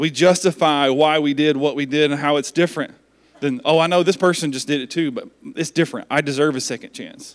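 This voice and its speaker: This man has a normal speaking voice with a fairly high pitch. He talks at a fairly quick pace with ordinary pitch variation. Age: 40s. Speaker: pastor. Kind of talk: sermon. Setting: church.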